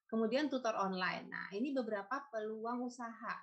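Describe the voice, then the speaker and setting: A woman speaks with a fairly high pitch and a somewhat breathy voice. Her pitch varies in an ordinary way against a quiet background. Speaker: food stylist, culinary writer and lecturer; lecturer. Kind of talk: webinar presentation. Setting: video call. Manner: halting. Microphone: video call.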